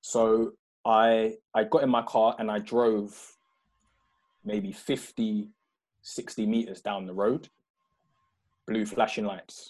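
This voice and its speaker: Over a quiet background, a man with a South London accent speaks at a very slow pace with long, frequent pauses. His medium-pitched voice has monotone, flat intonation. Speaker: former footballer. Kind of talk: interview. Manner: halting.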